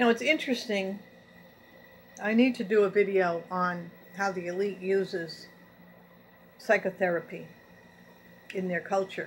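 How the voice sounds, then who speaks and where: A woman's somewhat breathy voice at a moderate pace, with long, frequent pauses, ordinary pitch variation and light background noise. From New England, French Canadian descent. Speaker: YouTube channel host; vlogger. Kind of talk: monologue reading and commenting on news articles. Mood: earnest, grievance-driven. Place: home room. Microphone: webcam.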